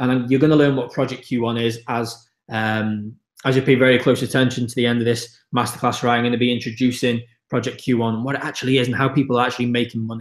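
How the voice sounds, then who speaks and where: Energetic and enthusiastic, a man talks at a very fast pace with a medium pitch. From north east Wales. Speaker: online business coach. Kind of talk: live webinar sales pitch. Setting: live online broadcast. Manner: energetic, enthusiastic.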